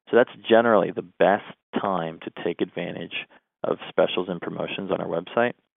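A plain, everyday voice moves at a fairly quick pace. Its pitch variation is ordinary. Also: man, fairly low pitch for a man. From Canada, southwestern Ontario. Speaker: publishing company representative. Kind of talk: interview conversation.

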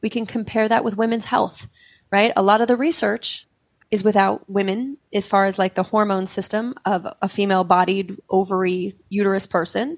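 This woman has a normal speaking voice with an American accent and a medium pitch. She talks at a moderate pace with ordinary pitch variation. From Utah. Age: 40s. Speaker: psychedelic integration coach. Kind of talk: interview conversation.

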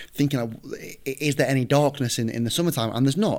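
A man is speaking. He has a northern English accent. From northern England, near Manchester. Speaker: football coach. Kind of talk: casual chat. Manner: halting.

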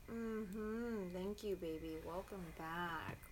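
A female-sounding voice at medium pitch puts on a guttural character voice at a very slow pace. Clear background noise runs underneath. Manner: warm, welcoming, affectionate.

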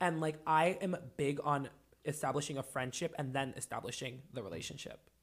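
A man with a fairly high, somewhat breathy voice speaks in an animated tone at a moderate pace, with ordinary pitch variation. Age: 20s. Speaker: podcast host. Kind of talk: casual chat. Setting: studio.

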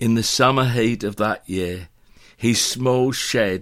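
An unforced reading voice shows ordinary changes in pitch.

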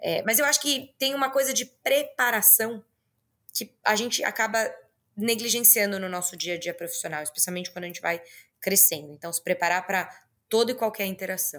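In a very clean recording with a silent background, a woman talks with a bright, sharp tone and lively intonation. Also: medium pitch for a woman. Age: 30s. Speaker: business executive and entrepreneur. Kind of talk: interview.

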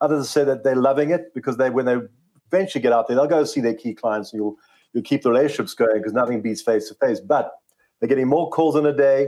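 Talking at a very fast pace, a man uses a fairly high voice. His pitch varies in an ordinary way. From South Africa, Johannesburg. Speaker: media company CEO. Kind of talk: interview.

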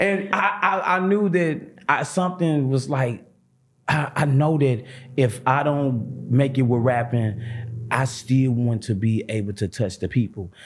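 The speaker has an American accent and a somewhat breathy voice, with lively intonation, very even loudness and a fairly slow pace. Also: man, medium pitch for a man. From St. Louis, Missouri. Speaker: comedian. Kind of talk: casual chat. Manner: animated.

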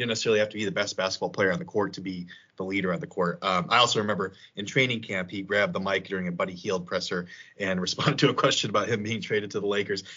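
Speaking at a very fast pace, a man with an American accent and a fairly low pitch uses ordinary pitch variation. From Illinois, Chicago suburbs. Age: 30s. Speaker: sports podcast host. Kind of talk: casual chat.

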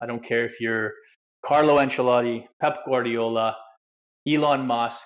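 Medium-pitched male speech in a Canadian accent, monotone and flat, at a moderate pace with long, frequent pauses. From Canada, Vancouver area. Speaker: soccer coach and ex pro player. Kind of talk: casual interview chat.

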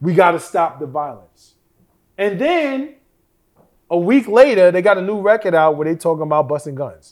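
Animated and lively in intonation, a man with a high pitch speaks with long, frequent pauses. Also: moderate pace. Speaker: podcast host. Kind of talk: casual chat. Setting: studio.

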